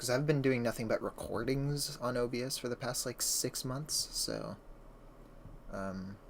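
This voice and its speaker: Soft-spoken and fairly slow, a man talks at a medium pitch with ordinary pitch variation. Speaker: streamer. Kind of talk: casual livestream chat.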